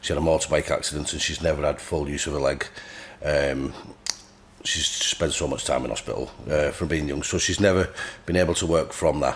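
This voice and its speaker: Against noticeable background noise, a man with a very deep, low pitch talks at a fairly quick pace, his intonation fairly even and broken by long, frequent pauses. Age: 30s. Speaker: bodybuilder. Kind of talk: podcast interview.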